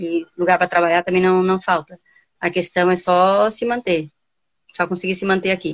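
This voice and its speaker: A woman's medium-pitched voice at a moderate pace, with very even loudness and fairly even intonation. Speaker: volleyball coach and university lecturer. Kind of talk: casual interview chat. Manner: hesitant, repeats words.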